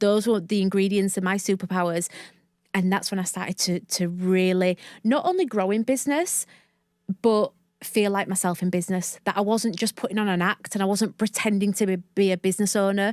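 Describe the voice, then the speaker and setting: A woman with a broad Northern English accent at medium pitch and a fairly quick pace, dry and close with no echo, on a very clean recording with a silent background. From northern England, Leeds. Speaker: mindset coach and podcast host. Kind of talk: interview. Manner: animated.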